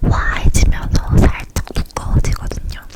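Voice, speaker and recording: Noticeable background noise is present. Over it, a woman whispers. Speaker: ASMR creator. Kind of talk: casual product-review chat to camera. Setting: recorded at home with a condenser mic. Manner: whispered, soft.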